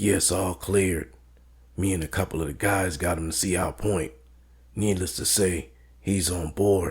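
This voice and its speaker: A man's put-on character voice, raspy and very deep in pitch, at a moderate pace with ordinary pitch variation and long, frequent pauses. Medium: read story. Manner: deferential to boss.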